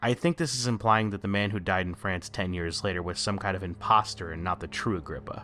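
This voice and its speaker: With music in the background, a man speaks fairly quickly, his pitch varying in an ordinary way. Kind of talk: video essay narration. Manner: some stuttering and pauses.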